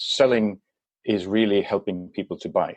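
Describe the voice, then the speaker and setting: A man with a Swedish accent speaks in a dry, close sound with no echo. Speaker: business consultant. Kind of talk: podcast interview. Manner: halting.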